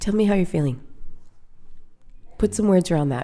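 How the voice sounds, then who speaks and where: Very wide pitch swings run through a voice with a dark, mellow tone. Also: woman. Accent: Canadian. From Canada, Winnipeg. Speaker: business owner. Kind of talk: interview conversation. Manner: fast; talkative.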